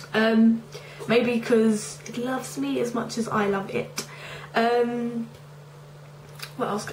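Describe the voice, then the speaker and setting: Noticeable background noise sits behind this woman's voice. Her pitch varies in an ordinary way. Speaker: beauty reviewer. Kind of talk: casual talk to camera.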